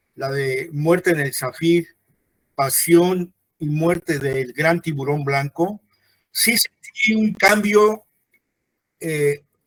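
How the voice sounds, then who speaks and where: A high-pitched man talks at a very slow pace with ordinary pitch variation. The sound is dry and close, with no echo. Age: 60s. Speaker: book presenter, interviewer. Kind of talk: book presentation conversation. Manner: halting, many fillers.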